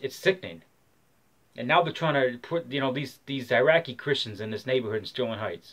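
A man with an American accent, fairly quick pace and ordinary pitch variation. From Michigan, US. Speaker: vlogger. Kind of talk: rally speech, angry rant to camera, urging an open carry protest. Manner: fiery, preachy, hard-hitting; emphatic, opinionated, rambling. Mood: angry, agitated. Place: home room. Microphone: webcam.

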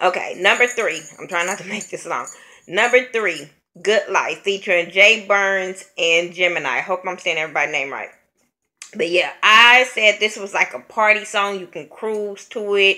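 A bright, sharp tone with big swings in loudness, in an American accent, against a quiet background. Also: woman, ordinary pitch variation, moderate pace. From California. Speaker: YouTube vlogger, music reviewer. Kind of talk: casual album review vlog. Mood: relaxed, amused. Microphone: webcam.

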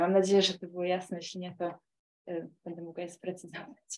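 Speaking very fast, a woman keeps a monotone, flat intonation at a fairly low pitch. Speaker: audience member. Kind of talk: audience question. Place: classroom.

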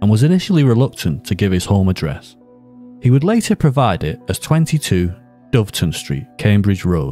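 Over music in the background, a man with a northern English accent speaks at a moderate pace with very wide pitch swings. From Northern England. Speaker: true crime narrator. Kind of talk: true crime documentary narration.

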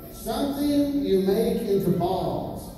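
Over light background noise and strong room echo, the speaker talks at a very slow pace. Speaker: pageant emcee. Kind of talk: live pageant hosting, game show style quiz. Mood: playful comedy skit. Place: hall.

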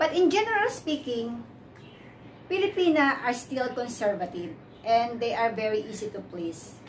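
A woman speaks at a moderate pace in a high voice, with light background noise behind her. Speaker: vlogger. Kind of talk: casual vlog chat. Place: home room. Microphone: camera far.

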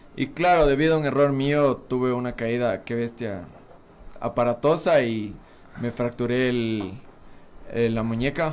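A man's medium-pitched voice at a fairly slow pace, with long, frequent pauses. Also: ordinary pitch variation. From Ecuador, Pichincha (Quito area). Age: 20s. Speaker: BMX racer; guest. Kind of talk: interview. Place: studio. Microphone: studio mic.

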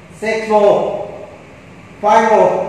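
A man speaks at a very slow pace, with strong echo from the room. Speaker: fitness trainer. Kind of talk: workout instruction, live rep counting. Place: gym. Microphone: camera far.

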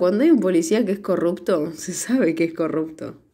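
Lively intonation and a dark, mellow tone in a Rioplatense accent, at a moderate pace, on a very clean recording with a silent background. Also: woman. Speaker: podcast co-host, film reviewer. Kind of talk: casual chat.

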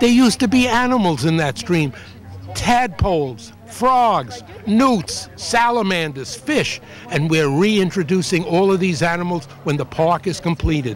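High in pitch, a man talks at a fairly slow pace with very wide pitch swings. Light background noise sits behind him. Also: dry sound with no echo. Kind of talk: interview answer. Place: garden. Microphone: handheld.

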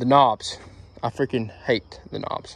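A man's voice with fairly even intonation, dry with no echo, over a quiet background. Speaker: mower owner reviewer. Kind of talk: casual product review. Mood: mildly annoyed, casual. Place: street. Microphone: phone near.

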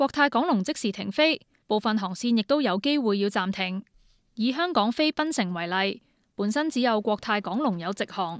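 A woman with a Hong Kong accent speaks at a moderate pace, the sound dry and close with no echo on a very clean recording over a silent background. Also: fairly high pitch for a woman, lively intonation. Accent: Hong Kong Cantonese. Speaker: news reporter. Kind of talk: news report narration.

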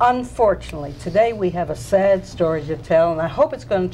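A woman speaks fairly quickly, with faint noise in the background. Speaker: TV show host, city council member. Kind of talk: TV show opening monologue. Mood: warm, chatty, nostalgic. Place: studio. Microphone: lapel.

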